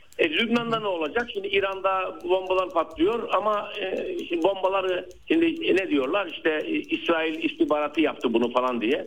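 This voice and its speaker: The voice moves at a moderate pace with very wide pitch swings and hardly any pauses. Noticeable background noise runs underneath. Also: man, high pitch for a man. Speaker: political science professor. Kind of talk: phone interview. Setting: phone call. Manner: halting, many fillers.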